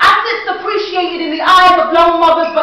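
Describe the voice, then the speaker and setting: Very fast and raised to project, a woman speaks at an extremely high pitch with fairly even intonation, with audible room echo and noticeable background noise. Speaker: spoken word poet. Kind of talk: spoken word performance. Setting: stage with audience. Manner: loud.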